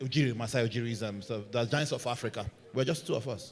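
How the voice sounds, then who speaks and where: In a Nigerian accent, a man speaks at a medium pitch with ordinary pitch variation. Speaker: football content creator, panelist. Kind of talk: panel discussion.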